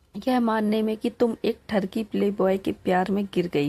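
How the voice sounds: The speaker has a natural reading voice with fairly even intonation.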